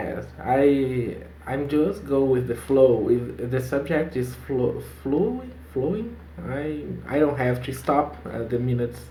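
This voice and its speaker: Noticeable background noise sits behind a man with a Portuguese accent who speaks at medium pitch and a fairly slow pace. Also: lively intonation. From Brazil. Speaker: English learner. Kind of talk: casual video-call conversation. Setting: video call.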